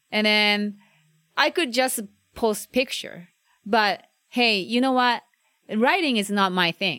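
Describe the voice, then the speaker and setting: A woman with a Japanese accent speaks very slowly, her fairly high voice bright and sharp in tone. Her intonation is lively, broken by long, frequent pauses. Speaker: food blogger and photographer. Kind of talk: casual interview. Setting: outdoors.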